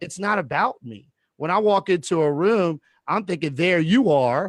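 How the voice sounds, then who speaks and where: A man speaks loudly in a high pitch with lively intonation. The sound is dry and close, with no echo. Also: moderate pace. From Louisiana. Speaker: real estate educator. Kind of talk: casual chat. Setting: video call. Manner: projecting.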